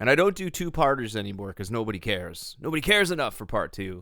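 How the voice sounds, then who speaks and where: A man with a bright, sharp tone speaks at a fairly quick pace, his pitch swinging very widely and dipping into vocal fry, on a very clean recording with a silent background. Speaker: podcast host. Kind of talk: podcast outro. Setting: studio.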